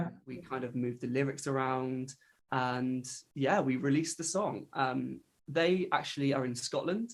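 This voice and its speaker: The speaker is a man with a medium pitch. He keeps a moderate pace, and his pitch varies in an ordinary way. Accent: West Country. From England, Devon. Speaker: countertenor singer. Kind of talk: interview answer. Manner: casual, hesitant with fillers.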